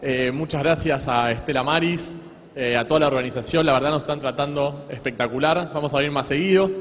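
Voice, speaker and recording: A fairly high-pitched man with ordinary pitch variation, against noticeable background noise. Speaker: law lecturer. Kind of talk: lecture. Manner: fast.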